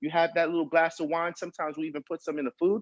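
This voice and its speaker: The sound is dry and close, with no echo. A man speaks in a high voice with ordinary pitch variation. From Brooklyn, New York, Haitian-American household. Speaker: chef. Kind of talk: cooking class demonstration. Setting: video call. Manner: fast; animated.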